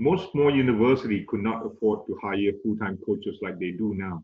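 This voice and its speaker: A man with a Malaysian accent and fairly low pitch talks at a moderate pace with ordinary pitch variation. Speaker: tennis coach and management professor. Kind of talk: webinar interview. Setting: video call.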